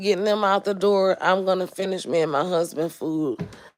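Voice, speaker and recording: A woman with an American accent and an animated tone, medium in pitch, at a moderate pace with ordinary pitch variation. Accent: Southern US, noticed by East Coast locals. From US South, Mobile, Alabama. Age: 40s. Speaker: home caterer and food vlogger. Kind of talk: casual livestream chat.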